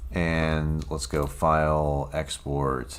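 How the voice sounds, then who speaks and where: Spoken at a very slow pace, the voice carries audible room echo. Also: man. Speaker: game developer streamer. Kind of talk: live coding stream. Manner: casual, hesitant with many fillers.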